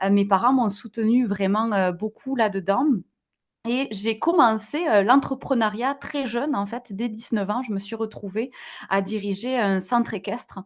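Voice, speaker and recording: A woman speaks at a fairly slow pace with a fairly high pitch. Her pitch varies in an ordinary way against a quiet background. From southwest France, near Toulouse. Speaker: digital wellbeing entrepreneur. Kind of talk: podcast interview. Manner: hesitant, many fillers.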